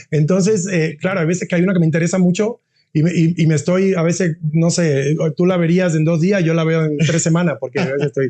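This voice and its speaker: This man talks at a very fast pace, his fairly high voice carrying a dark, mellow tone. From Cuba. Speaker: university dean. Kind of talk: interview. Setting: podcast. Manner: halting, many repetitions; animated.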